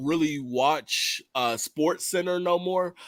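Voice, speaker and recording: A man at a very slow pace, in a very clean recording with a silent background. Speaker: YouTube reaction streamer. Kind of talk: casual chat. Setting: livestream. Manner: halting.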